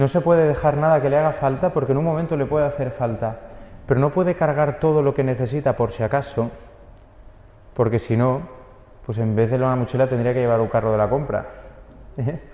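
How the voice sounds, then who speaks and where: A man with a Spanish accent talks at a fairly quick pace. Long, frequent pauses break up his speech. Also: ordinary pitch variation. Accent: Spain Spanish. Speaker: priest giving a homily. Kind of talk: homily preaching. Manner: earnest, exhortative; steady, didactic, rhetorical repetition.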